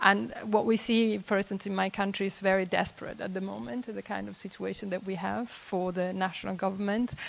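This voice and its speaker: A woman with an Italian accent, medium pitch and ordinary pitch variation, at a fairly quick pace with hardly any pauses. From Italy. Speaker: audience member. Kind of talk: panel discussion comment. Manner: halting.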